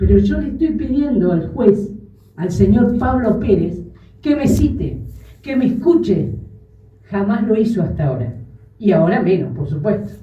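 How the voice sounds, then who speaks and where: Audible room echo surrounds a woman who speaks at a medium pitch and a fairly slow pace, her pitch swinging very widely between long, frequent pauses. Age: 60s. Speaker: grandmother speaking at a congress. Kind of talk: public testimony speech. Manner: emotional, firm.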